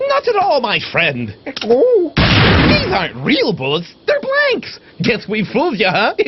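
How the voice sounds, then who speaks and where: A man's cartoonish character voice at a fairly slow pace, with sound effects in the background. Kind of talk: comic theatrical overacting. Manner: pompous, florid, overly polite.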